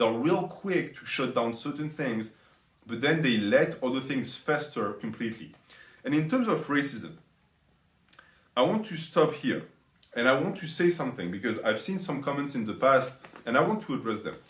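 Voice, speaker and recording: A man with a fairly high pitch speaks with lively intonation, sounding somewhat breathy and leaving long, frequent pauses. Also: moderate pace. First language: not English. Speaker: commentary YouTuber. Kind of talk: commentary monologue.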